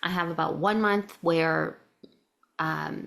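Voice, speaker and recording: A woman speaks at a fairly low pitch with vocal fry. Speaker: occupational therapist and business owner. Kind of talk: interview. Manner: effortful, paced speech.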